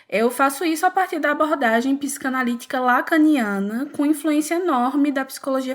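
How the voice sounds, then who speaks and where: A woman with a Pernambuco accent, high pitch, moderate pace and ordinary pitch variation, on a very clean recording with a silent background. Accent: Pernambuco accent, noticeable. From Pernambuco, northeast Brazil. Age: 20s. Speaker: psychologist. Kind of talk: podcast interview.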